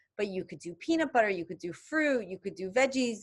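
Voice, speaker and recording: A woman is speaking. Her pitch swings very widely. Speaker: health coach. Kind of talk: webinar presentation. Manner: fast.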